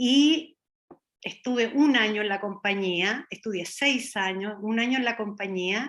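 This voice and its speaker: This woman speaks with a Chilean accent at a fairly slow pace. Her tone is bright and sharp, her intonation lively. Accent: Chilean lilt. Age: 60s. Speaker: dancer and Feldenkrais student. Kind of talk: interview testimony. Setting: video call.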